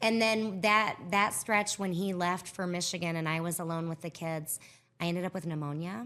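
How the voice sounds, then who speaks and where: In a very clean recording with a silent background, a woman with an American accent speaks at a moderate pace, her fairly low pitch showing ordinary variation and her tone bright and sharp. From Iowa, US Midwest. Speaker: coach's wife and former school counselor. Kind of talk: casual podcast interview. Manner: animated.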